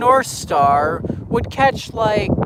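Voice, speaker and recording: A man speaks with an American accent and ordinary pitch variation. Noticeable background noise can be heard. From Illinois, US. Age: 20s. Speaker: railfan streamer. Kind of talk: casual live stream chat.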